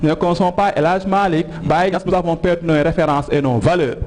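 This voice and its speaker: Amid noticeable background noise, a man talks in a high pitch at a moderate pace. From Senegal. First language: Wolof (speaking French). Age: young. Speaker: TV talk show guest. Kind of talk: educational TV interview.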